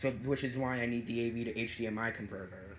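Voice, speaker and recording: Audible room echo surrounds a bright, sharp tone. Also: man. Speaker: gaming YouTuber. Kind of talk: tutorial. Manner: halting.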